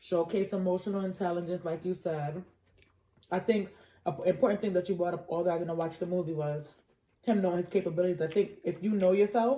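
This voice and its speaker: Speaking at a very fast pace, a woman with an American accent has a fairly low, dark, mellow voice and fairly even intonation. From New York. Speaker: podcast co-host. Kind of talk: casual chat.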